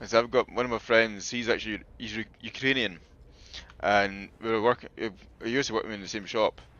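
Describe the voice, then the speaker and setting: A man speaks with a Scottish accent at a medium pitch. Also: fairly even intonation, fairly quick pace. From Scotland (Falkirk area). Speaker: gaming streamer. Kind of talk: casual chat.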